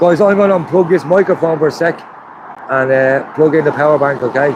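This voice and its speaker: A man with an Irish accent, fairly high in pitch, at a fairly quick pace, with ordinary pitch variation, very even loudness and noticeable background noise. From Ireland, County Wicklow. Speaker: livestreamer at a protest. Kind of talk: live stream commentary.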